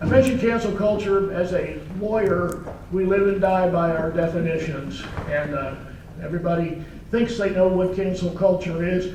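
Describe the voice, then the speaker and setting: There is noticeable background noise and audible room echo. A man talks at a high pitch and moderate pace with fairly even intonation. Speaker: lawyer and retired naval officer. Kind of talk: presentation. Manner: soft-spoken.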